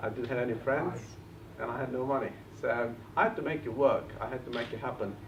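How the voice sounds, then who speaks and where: A man at a medium pitch, very fast and fairly even in intonation, with audible room echo and noticeable background noise. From Bulgaria, village. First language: Bulgarian. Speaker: property investor and trainer. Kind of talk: seminar talk.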